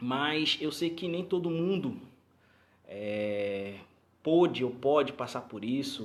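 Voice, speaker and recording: A man's very slow, lively-intoned voice amid audible room echo. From Rio de Janeiro, Brazil. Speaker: pastor. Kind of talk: live stream talk to congregation. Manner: halting, many repetitions.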